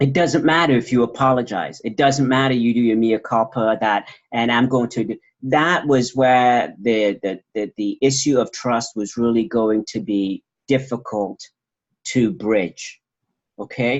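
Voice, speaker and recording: Medium in pitch, a man speaks in a normal speaking voice at a fairly slow pace. His pitch variation is ordinary. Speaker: doctoral graduate presenting dissertation research. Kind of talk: research presentation and Q&A.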